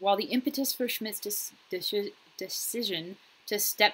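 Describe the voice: Bright in tone, this woman's voice carries a slightly husky edge.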